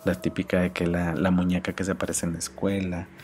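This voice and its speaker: A man's very deep, low voice, monotone and flat, at a fairly quick pace with noticeable background noise. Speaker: podcast host and graphic designer. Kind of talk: casual solo podcast monologue. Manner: halting, many fillers and repetitions.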